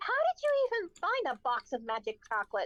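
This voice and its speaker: In a put-on character voice, the speaker squeaks at an extremely high pitch with very wide pitch swings and a fairly quick pace. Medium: actual play.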